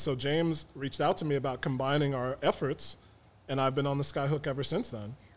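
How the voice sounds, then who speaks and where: A man with an American accent talks at a fairly quick pace in a normal speaking voice. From Chicago South Side (South Shore). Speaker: sports podcaster. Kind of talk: casual chat. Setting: studio.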